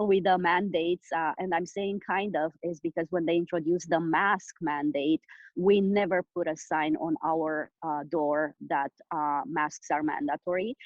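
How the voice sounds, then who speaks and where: A woman with a Romanian accent, fairly low in pitch, with fairly even intonation and hardly any pauses. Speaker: business owner. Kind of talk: interview. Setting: call. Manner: halting, many fillers.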